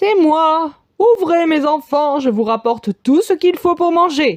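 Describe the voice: In a put-on character voice, a woman talks at a fairly slow pace with an extremely high pitch.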